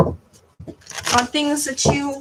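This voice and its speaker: A raised, projected voice with ordinary pitch variation. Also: woman. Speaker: tarot card reader. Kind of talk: tarot reading to camera. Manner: halting, stumbling over words.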